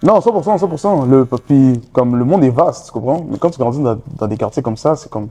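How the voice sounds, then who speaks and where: With a dark, mellow tone and medium pitch, a man talks fairly quickly in lively intonation, with hardly any pauses. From Montreal, Saint-Michel. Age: 20s. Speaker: rapper. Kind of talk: interview. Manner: casual, halting.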